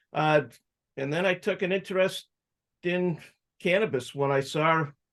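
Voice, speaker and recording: Over a quiet background, a man with an American accent speaks at a moderate pace in a high pitch, his pitch varying in an ordinary way. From Massachusetts, suburban Boston. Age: 60s. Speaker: cannabis activist and entrepreneur. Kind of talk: interview life story.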